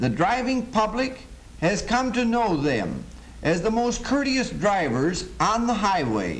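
The delivery moves at a fairly slow pace. Its intonation is lively. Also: man, high pitch for a man. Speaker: film narrator. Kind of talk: 1930s training film narration, formal and sermon-like. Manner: formal, measured, stately. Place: studio.

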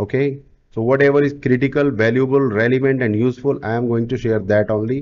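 This man speaks with an Indian accent. His pace is very fast and his intonation fairly even. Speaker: digital marketing coach. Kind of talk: sales pitch.

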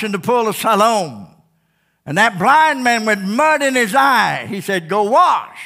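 A man speaks with an animated, bright, sharp tone and lively intonation, raising and projecting his high-pitched voice. His pace is fairly slow, and the background is quiet. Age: 70s. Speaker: pastor. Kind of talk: sermon. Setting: church. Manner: animated, repetitive preaching cadence. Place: church. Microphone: headset.

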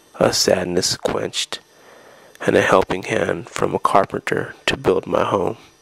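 A man at a fairly slow pace, dry and close with no echo, amid noticeable background noise. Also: long, frequent pauses. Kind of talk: poetry reading.

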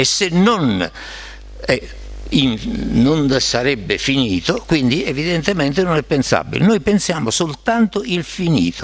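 The pace is fairly slow, with long, frequent pauses. The pitch swings very widely. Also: man, fairly high pitch for a man. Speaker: philosopher; panelist. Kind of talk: academic discussion. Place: meeting room. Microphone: podium.

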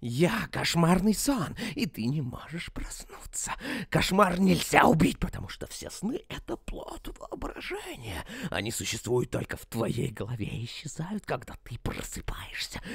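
A man speaks at a moderate pace in a put-on character voice, whispering at times, with big swings in loudness. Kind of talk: dramatic video game dubbing. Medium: fan dub. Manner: menacing, gloating, taunting.

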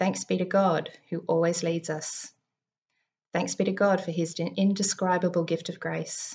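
Vocal fry runs through a woman's voice. She talks at a fairly low pitch. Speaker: preacher or devotional speaker. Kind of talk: sermon. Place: home room. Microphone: webcam.

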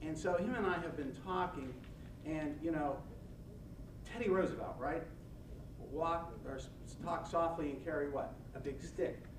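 Amid noticeable background noise, a man speaks at a moderate pace and a fairly high pitch, with ordinary pitch variation and long, frequent pauses. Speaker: nonprofit organizer and former prosecutor. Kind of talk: lecture. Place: meeting room.

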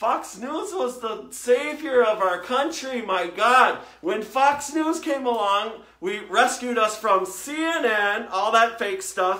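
Lively intonation carries a put-on character voice delivered at a slow pace, with audible room echo and a bright, sharp tone. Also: man, extremely high pitch for a man.

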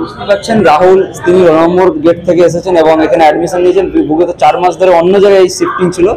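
A man talks at a very fast pace in a high pitch with a dark, mellow tone. His intonation stays fairly even over faint background noise.

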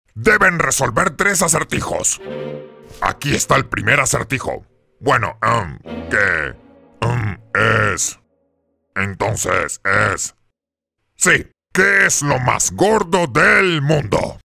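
A man at a fairly high pitch with very wide pitch swings, a very slow pace and long, frequent pauses, faint music in the background. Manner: pompous, bossy.

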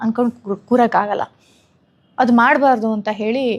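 Pitched fairly high, a woman speaks in an unremarkable speaking voice with fairly even intonation. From Karnataka, Mandya district. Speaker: theatre actress. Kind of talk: casual interview. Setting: studio tour.

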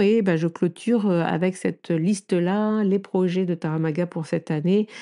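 Her fairly low pitch and dark, mellow tone carry fairly even intonation as this woman speaks. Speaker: tarot coach and podcast host. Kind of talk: casual solo chat. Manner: halting, many fillers. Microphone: new microphone.

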